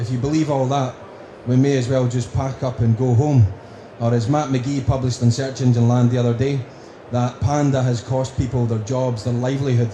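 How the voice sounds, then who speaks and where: Over noticeable background noise and audible room echo, a man with a strong Scottish accent speaks at medium pitch and a moderate pace in monotone, flat intonation. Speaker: conference speaker on marketing. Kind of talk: conference presentation.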